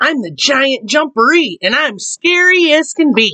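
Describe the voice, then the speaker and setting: A woman speaks loudly in a put-on character voice. Her pitch is high. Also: moderate pace. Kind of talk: children's story reading. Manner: scary, booming.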